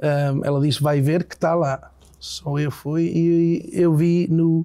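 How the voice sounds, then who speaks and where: The voice has a dark, mellow tone with an English accent. Its intonation stays monotone and flat. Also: man. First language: English (speaking Portuguese). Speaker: singer-songwriter. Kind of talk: interview. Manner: halting.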